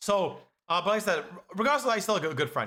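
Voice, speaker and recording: Bright and sharp in tone, a man speaks at a very fast pace. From Canada. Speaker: streamer. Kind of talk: casual chat. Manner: loud; animated.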